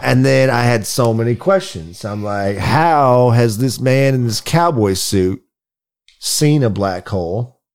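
A man's unremarkable speaking voice at medium pitch, with lively intonation and a fairly slow pace. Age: 40s. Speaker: podcast co-host. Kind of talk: casual chat.

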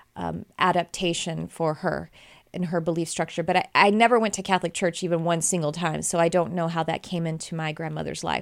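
On a very clean recording with a silent background, a woman speaks fairly quickly in a fairly low voice with monotone, flat intonation. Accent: American. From Texas. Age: 40s. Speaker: podcast host and spiritual teacher. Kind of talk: spiritual podcast monologue. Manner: casual, with hesitations and self-corrections.

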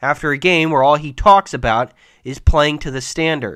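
A man with a fairly high pitch and a bright, sharp tone speaks with lively intonation on a very clean recording with a silent background. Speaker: sports podcaster. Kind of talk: angry sports rant, fired up and scolding the coach and players. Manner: heated, exasperated, emphatic, repeating lines for emphasis.

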